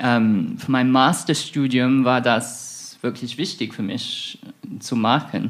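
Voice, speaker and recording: Someone with an English accent speaks at a very slow pace with fairly even intonation. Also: man, medium pitch for a man. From southern England, Isle of Wight. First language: English (speaking German). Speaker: researcher in music and theology. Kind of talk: interview. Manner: hesitant, many fillers.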